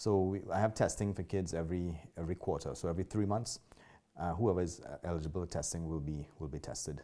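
The voice has a dark, mellow tone and a Trinidadian accent, moving at a very fast pace with fairly even intonation. The recording is very clean, with a silent background. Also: man, very deep, low pitch for a man. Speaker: martial arts school owner. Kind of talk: interview.

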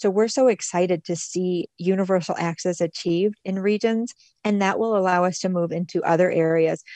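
A woman with an American accent and a plain, everyday voice talks at medium pitch and a fairly quick pace, the sound dry and close with no echo. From Michigan, US. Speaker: nonprofit director. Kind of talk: interview.

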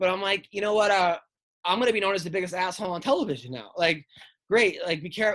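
A high-pitched man with an American accent at a very fast pace, with ordinary pitch variation. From New York. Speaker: stand-up comedian. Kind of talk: casual chat. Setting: video call.

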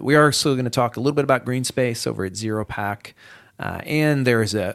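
A man with a normal speaking voice is heard on a very clean recording with a silent background. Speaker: city manager hosting municipal podcast. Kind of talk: casual chat. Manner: casual, frequent filler words.

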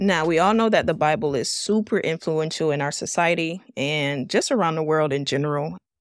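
Over music in the background, a woman with a very deep, low pitch talks at a fairly quick pace with lively intonation and hardly any pauses. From Miami, Florida. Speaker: podcast host. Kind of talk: casual teaching talk.

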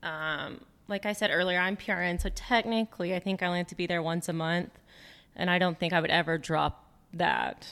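An ordinary speaking voice with fairly even intonation comes through a very clean recording with a silent background. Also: woman, fairly low pitch for a woman. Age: 30s. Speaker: nurse practitioner and spray tanning business co-owner. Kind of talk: casual interview.

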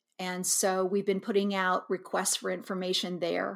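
In an American accent, a woman speaks at a medium pitch and moderate pace with monotone, flat intonation. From Kansas. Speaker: high school yearbook advisor. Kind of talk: interview conversation.

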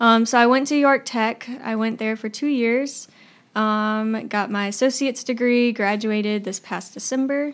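A woman's normal speaking voice, fairly high in pitch, with fairly even intonation at a moderate pace on a very clean recording with a silent background. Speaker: associate campus minister. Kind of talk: casual chat.

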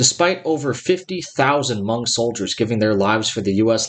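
This man has an unremarkable speaking voice, medium in pitch, with lively intonation. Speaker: podcast host. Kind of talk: history documentary narration. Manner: formal, measured, even-toned.

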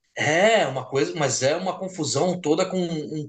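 Fairly slow speech from a man at a fairly high pitch, ordinary pitch variation, and noticeable background noise. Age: 40s. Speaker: music magazine writer, co-host. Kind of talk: casual chat.

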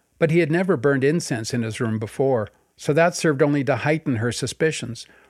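A man with a Canadian accent speaks in a plain, everyday voice at a fairly quick pace with ordinary pitch variation, in a very clean recording over a silent background. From Canada (BC West Coast, then Montreal West Island). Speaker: podcast host and memoirist. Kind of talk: memoir reading aloud.

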